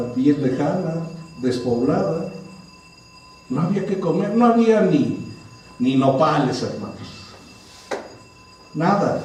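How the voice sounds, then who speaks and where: A man with a Mexican accent speaks very slowly with lively intonation, amid noticeable background noise and audible room echo. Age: 60s. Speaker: pastor. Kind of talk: sermon. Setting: church. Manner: conversational, engaging congregation.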